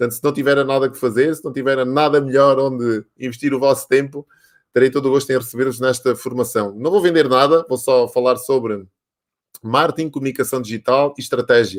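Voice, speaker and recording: The man's voice has a medium pitch, and he talks at a fairly quick pace. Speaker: live show host. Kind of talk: casual interview. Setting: online live stream. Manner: animated.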